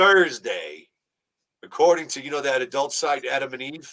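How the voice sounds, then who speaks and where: A man's bright, sharp tone with big swings in loudness. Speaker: radio host, band lead singer, podcaster and voice actor. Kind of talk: casual talk in a podcast interview. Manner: joking, chatty.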